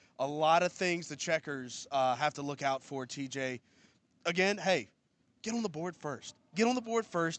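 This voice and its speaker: An ordinary speaking voice from a man, fairly high in pitch, moderate in pace with lively intonation, dry and close with no echo against a quiet background. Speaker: PA announcer and co-host. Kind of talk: sports broadcast preview discussion.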